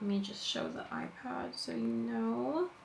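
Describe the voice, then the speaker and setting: A woman's voice over noticeable background noise. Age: 20s. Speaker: lifestyle vlogger. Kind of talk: casual vlog monologue. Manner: chatty, lots of fillers.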